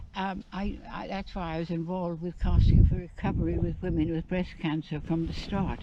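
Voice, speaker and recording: A woman speaks in a fairly low, monotone voice with flat intonation. Her pace is moderate, she hardly pauses, and background noise is noticeable. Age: 80s+. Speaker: veteran angler. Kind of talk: casual chat. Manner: halting.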